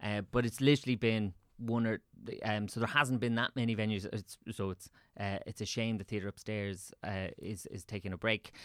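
Speaking at a moderate pace with a Dublin accent, a man with a fairly low pitch keeps his intonation fairly even, his voice dry and close with no echo on a very clean recording with a silent background. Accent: Dublin Irish. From Ireland, Swords (north County Dublin). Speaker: theatre director and writer. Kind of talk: casual interview chat.

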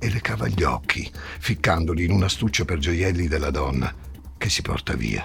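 Over noticeable background noise, a man speaks at a moderate pace in a very deep, low pitch. His pitch swings very widely. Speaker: podcast host narrator. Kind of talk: true-crime narration, scripted and dramatic. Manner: tense, suspenseful, measured storytelling.

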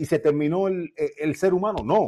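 A man speaks in a dark, mellow tone. His pitch shows ordinary variation. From Cuba. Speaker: boxing commentator, former boxer. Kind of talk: live call-in debate. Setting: at home, remote call. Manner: loud.

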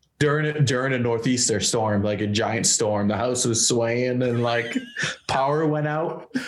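A man with an American accent speaks at a fairly slow pace, his pitch medium with ordinary variation and his loudness very even. Noticeable background noise and audible room echo fill the recording. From Massachusetts, between Boston and Worcester. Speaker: hardcore guitarist. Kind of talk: casual chat. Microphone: laptop mic.

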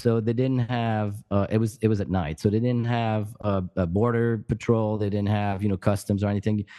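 This man talks at a moderate pace in a fairly low pitch with a dark, mellow tone. The background is quiet. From France, Paris area. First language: French. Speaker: podcast co-host. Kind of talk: casual chat. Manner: halting.

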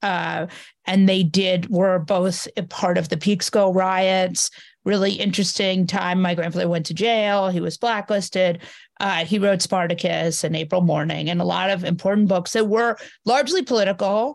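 This is an unremarkable speaking voice from a woman at medium pitch. Her intonation is fairly even and her pace moderate. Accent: American. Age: 40s. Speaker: journalist and podcaster. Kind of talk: casual interview. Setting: video call.

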